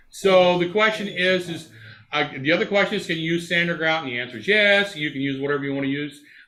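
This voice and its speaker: With audible room echo, a man with a high pitch speaks at a very fast pace and ordinary pitch variation. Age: 70s. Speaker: model railroad clinic presenter. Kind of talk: presentation with slides. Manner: halting, many fillers.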